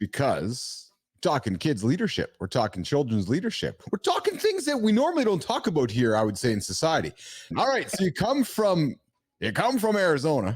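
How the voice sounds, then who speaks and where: At a fairly quick pace, a man speaks with vocal fry, very wide pitch swings and very even loudness. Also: fairly high pitch for a man. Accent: Canadian Prairies. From Manitoba, Canada (Winnipeg). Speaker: podcast host. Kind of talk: casual interview chat. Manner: animated.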